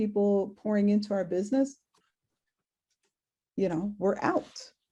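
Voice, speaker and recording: Her voice somewhat breathy and dark and mellow in tone, a woman speaks at a moderate pace and medium pitch with fairly even intonation. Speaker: sales trainer and speaker. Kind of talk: webinar presentation. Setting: virtual event.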